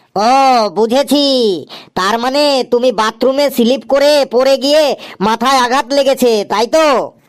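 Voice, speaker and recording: This man uses a cartoonish character voice at an extremely high pitch. He keeps a moderate pace, fairly even intonation and very even loudness. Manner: interrupting, presumptuous.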